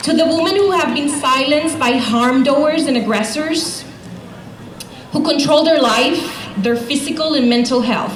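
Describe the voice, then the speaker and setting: A woman with a Spanish accent speaks at a fairly slow pace, her high pitch showing ordinary variation and her loudness very even. The recording has audible room echo and noticeable background noise. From Puerto Rico. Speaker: domestic violence program director. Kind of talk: rally speech.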